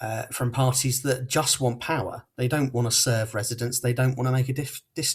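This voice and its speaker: A man with a southern English accent speaks in a somewhat breathy voice. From Portsmouth, southern England. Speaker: local election candidate. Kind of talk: campaign closing speech.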